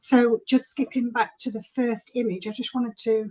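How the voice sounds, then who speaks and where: Her voice is dark, mellow and somewhat breathy, as the woman speaks at a moderate pace with fairly even intonation. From Sheffield, northern England. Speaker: university representative. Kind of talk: presentation.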